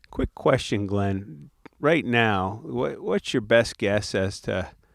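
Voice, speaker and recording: At a fairly slow pace, a man speaks in an ordinary speaking voice, fairly low in pitch with ordinary pitch variation. The recording is very clean with a silent background. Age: 60s. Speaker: retired business executive. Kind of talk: casual chat. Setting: outdoors.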